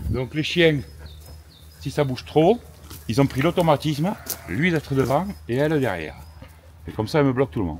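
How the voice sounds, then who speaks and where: Talking at a fairly quick pace, a man uses a fairly high pitch with very wide pitch swings and a somewhat breathy sound. His speech has long, frequent pauses. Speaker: goat and sheep farmer. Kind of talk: casual chat.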